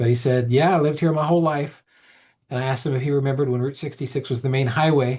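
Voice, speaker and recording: Speaking at a very fast pace, a man with a fairly high, somewhat breathy voice keeps his intonation fairly even. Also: quiet background. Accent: American. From Oklahoma. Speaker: historic preservation manager. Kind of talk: webinar presentation. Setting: webinar.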